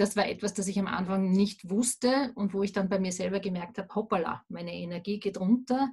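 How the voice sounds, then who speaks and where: A woman talks at a fairly quick pace with hardly any pauses. Her intonation is fairly even, in an unremarkable speaking voice. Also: medium pitch for a woman. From Austria, Vienna. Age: 40s. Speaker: remote work consultant. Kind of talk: interview.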